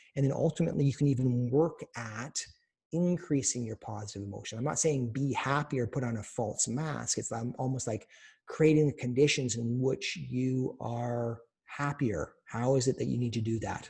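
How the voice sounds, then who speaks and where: A somewhat breathy male voice of medium pitch, dark and mellow, with ordinary pitch variation, a moderate pace and a quiet background. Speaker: doctor teaching cancer survivors. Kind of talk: webinar lecture. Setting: online webinar. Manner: soft, reassuring.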